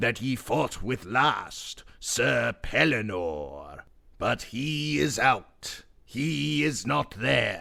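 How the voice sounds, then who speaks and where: A man does a put-on character voice at medium pitch and a very slow pace. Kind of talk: archaic storytelling. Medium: read story.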